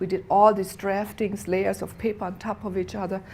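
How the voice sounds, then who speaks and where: The voice shows vocal fry and moves at a moderate pace. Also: woman. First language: not English. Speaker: inspirational speaker. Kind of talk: inspirational speech. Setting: theater stage with audience. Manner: halting.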